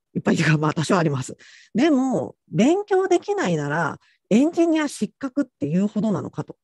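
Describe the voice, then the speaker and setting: Speaking at a fairly quick pace, a man uses a high pitch. His very wide pitch swings come through in a dry sound with no echo. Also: quiet background. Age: middle-aged. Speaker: technical author and conference speaker; conference speaker. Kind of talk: lecture. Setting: online conference session. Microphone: video call.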